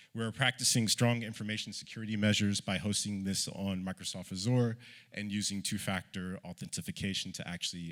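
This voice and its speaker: Recorded very cleanly with a silent background, a man with an American accent speaks at a fairly quick pace, his fairly low voice showing ordinary pitch variation. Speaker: panelist, research director at a humanitarian NGO. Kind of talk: conference presentation read from notes. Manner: fast.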